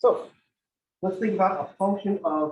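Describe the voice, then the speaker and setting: A man speaks loudly with lively intonation. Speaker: math teacher. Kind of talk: lecture.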